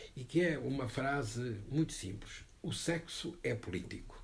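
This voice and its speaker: A somewhat breathy voice with lively intonation and audible room echo. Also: man. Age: 70s. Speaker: book presenter. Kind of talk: panel discussion. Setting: bookshop event with audience.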